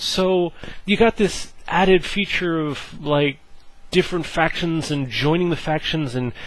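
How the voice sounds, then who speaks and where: Noticeable background noise runs through the clip. Over it, a man speaks at a moderate pace. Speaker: gaming video creator. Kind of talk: casual gameplay preview talk. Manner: animated, hesitant with fillers.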